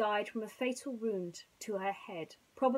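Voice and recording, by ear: The text is read aloud in a natural voice. Pitch moves with ordinary variation.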